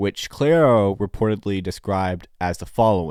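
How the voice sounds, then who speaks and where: With lively intonation and a moderate pace, a man talks on a very clean recording against a silent background. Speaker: music reviewer. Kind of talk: album review. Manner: halting.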